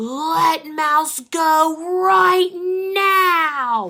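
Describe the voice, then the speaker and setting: A put-on character voice at a high pitch. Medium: read story. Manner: gruff, dismissive.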